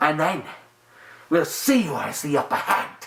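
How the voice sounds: A put-on character voice from a man, pitched fairly high. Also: moderate pace.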